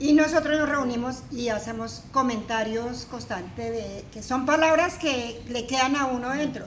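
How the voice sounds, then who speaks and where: Against noticeable background noise and audible room echo, a woman talks at a fairly high pitch. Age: 60s. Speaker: senior program participant. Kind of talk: personal testimony.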